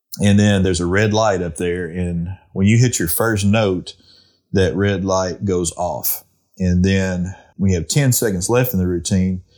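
The speaker talks with an Arkansas accent on a very clean recording with a silent background. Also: man. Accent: southern US (Arkansas). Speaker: duck calling champion and call maker. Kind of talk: casual interview.

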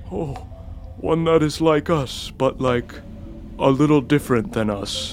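A man uses a put-on character voice with a fairly high pitch. He talks at a fairly slow pace with long, frequent pauses, and clear background noise is present. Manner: slow, drawn out.

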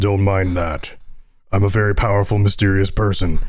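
A man uses a put-on character voice, fairly low in pitch, monotone and flat, at a moderate pace. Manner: grandiose, mysterious.

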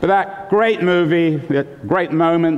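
Through noticeable background noise, a man with an American accent talks with ordinary pitch variation. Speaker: author. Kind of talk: lecture. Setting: stage with audience. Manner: animated.

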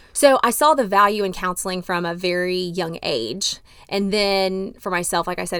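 Speaking with a Texan accent at medium pitch, a woman keeps a moderate pace and ordinary pitch variation in a very clean recording with a silent background. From Texas, Dallas. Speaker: marriage and family therapist. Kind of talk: personal testimony interview.

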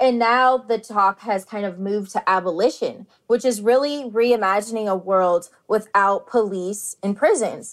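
A woman with an unremarkable speaking voice talks at a fairly slow pace and a fairly high pitch, with ordinary pitch variation. The recording is very clean, with a silent background. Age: 30s. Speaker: university student, formerly incarcerated. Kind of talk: interview.

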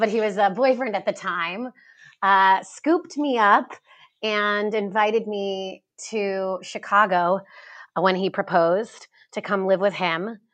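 Very slow female speech at a medium pitch in an American accent, with ordinary pitch variation over a quiet background. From US East Coast. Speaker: skincare entrepreneur. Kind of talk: interview. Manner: hesitant with fillers.

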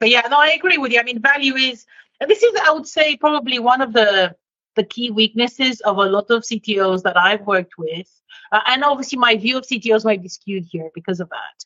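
A woman at a fairly high pitch with a slight non-native accent, fairly quick pace, lively intonation and big swings in loudness. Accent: slight foreign twang in English. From Romania. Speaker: leadership consultant. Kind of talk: interview. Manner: direct.

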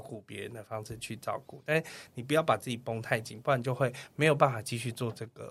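A man talks at a fairly quick pace with a Taiwanese accent. The recording is very clean, with a silent background. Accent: Taiwanese Mandarin. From Taiwan, Kaohsiung. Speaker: tour leader and travel agent. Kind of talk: casual interview. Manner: clear standard diction.

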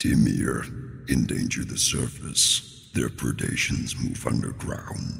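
Quiet and very deep, a man's put-on character voice moves at a fairly slow pace with hardly any pauses. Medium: actual play. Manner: quiet, solemn.

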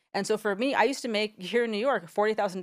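A woman with an American accent speaks at a very fast pace. Her recording is very clean, with a silent background. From San Diego, US Southwest. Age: 40s. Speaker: entrepreneur. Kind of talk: interview.

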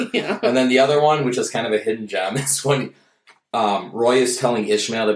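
With a strong Minnesota accent, a man talks at a fairly quick pace using ordinary pitch variation. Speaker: stand-up comedian and bartender. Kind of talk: casual chat.

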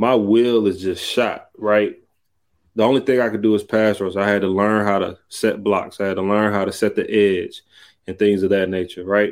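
A man with a fairly low pitch speaks at a moderate pace in a flat monotone, on a very clean recording with a silent background. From US South, Columbus, Georgia. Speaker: former pro football player, mental health nonprofit founder. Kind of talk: interview. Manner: casual, conversational.

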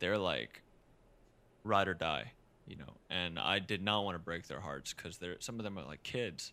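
A man with a very deep, low pitch and a bright, sharp tone uses vocal fry at a moderate pace, with ordinary pitch variation and big swings in loudness. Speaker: singer-songwriter. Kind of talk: casual interview chat. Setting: recorded remotely in quarantine, home.

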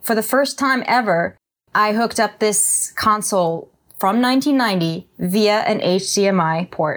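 On a very clean recording with a silent background, a woman with an unremarkable speaking voice talks at a moderate pace and a fairly high pitch, with ordinary pitch variation. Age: 60s. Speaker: songwriter and musician. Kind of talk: casual chat.

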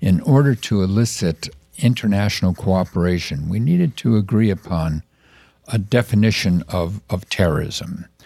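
A man with an American accent and a fairly low pitch speaks with lively intonation. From US Midwest, Chicago. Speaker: counterterrorism expert. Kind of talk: interview. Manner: halting.

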